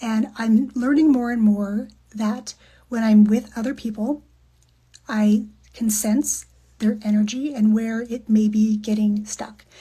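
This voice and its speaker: A woman's somewhat breathy voice with a warm tone and a dark, mellow tone, fairly slow, with monotone, flat intonation. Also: fairly high pitch for a woman. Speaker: podcast guest, human design coach. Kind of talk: casual talk to camera. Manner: reflective, warm.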